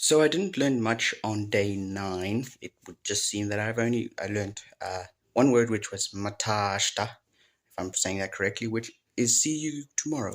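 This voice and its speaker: In a South African accent, the voice comes through on a very clean recording with a silent background. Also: man, fairly low pitch for a man, ordinary pitch variation, moderate pace. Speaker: language learner vlogger. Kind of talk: casual recap vlog. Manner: halting, self-correcting.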